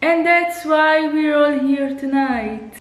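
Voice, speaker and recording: In a room with audible echo, a woman with an Italian accent speaks at a fairly slow pace, sounding somewhat breathy. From Italy. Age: 30s. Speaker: YouTuber. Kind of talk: casual reaction vlog. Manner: animated.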